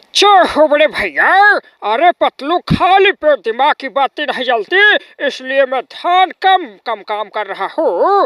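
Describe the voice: In a put-on character voice, a man speaks at a moderate pace with an extremely high pitch.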